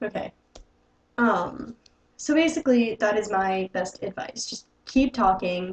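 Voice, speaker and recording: Speaking at a fairly slow pace with long, frequent pauses, a woman uses a somewhat breathy, fairly high-pitched voice with lively intonation and big swings in loudness. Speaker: YouTube let's player. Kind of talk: advice vlog. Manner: animated.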